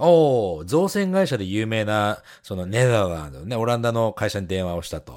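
A man with a Japanese accent at a very fast pace with hardly any pauses, fairly low in pitch, with very wide pitch swings and big swings in loudness, on a very clean recording with a silent background. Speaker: podcast co-host. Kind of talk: casual chat.

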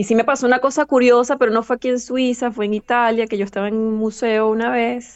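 Rushing at a very fast pace with hardly any pauses, a woman speaks at a fairly high pitch in a monotone, flat intonation. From Venezuela, Caracas. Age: 30s. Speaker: linguist and translator. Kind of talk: interview, personal testimony. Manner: hesitant, many fillers and repetitions.

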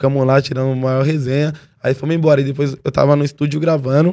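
A man speaks fairly quickly in a fairly high, dark and mellow voice, his intonation monotone and flat. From São Paulo, East Zone. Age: 20s. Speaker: rapper. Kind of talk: casual chat.

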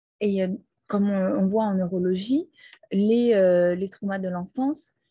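A woman speaks at a fairly slow pace in a somewhat breathy voice of medium pitch. Her tone is dark and mellow, with ordinary pitch variation. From Brazil. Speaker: podcaster. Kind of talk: personal testimony. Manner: halting.

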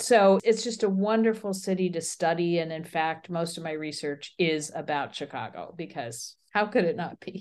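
With an American accent, a woman speaks at a moderate pace in a fairly low voice with ordinary pitch variation, hardly pausing, against a quiet background. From US Midwest. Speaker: urban planning professor. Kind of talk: interview.

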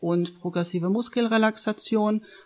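A woman speaks in an unremarkable speaking voice at a medium pitch. Her pace is moderate and her pitch variation ordinary. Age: 30s. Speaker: nutrition consultant. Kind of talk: casual interview. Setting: studio, face to face.

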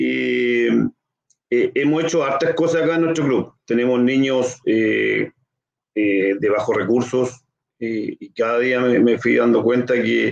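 A man speaks at a very slow pace with long, frequent pauses, his loudness very even. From Chile, Concepción. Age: 40s. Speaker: local council candidate, sports club leader. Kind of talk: interview. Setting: live stream. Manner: halting.

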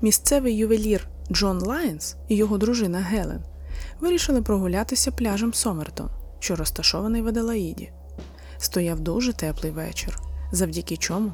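A woman speaking at a moderate pace, with music in the background. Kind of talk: true-crime narration. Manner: formal, scripted-sounding, addresses listeners warmly.

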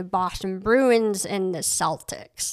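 In a very clean recording with a silent background, a woman with an American accent speaks at a fairly slow pace and medium pitch in a normal speaking voice. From Maine, US (adopted from Cambodia as infant). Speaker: artist and photographer. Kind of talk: casual interview. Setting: home studio.

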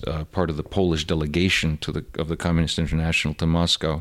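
A Russian accent in a monotone, flat delivery on a very clean recording with a silent background. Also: man. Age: 50s. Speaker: podcast guest, friend of host. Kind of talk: casual chat. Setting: home living room.

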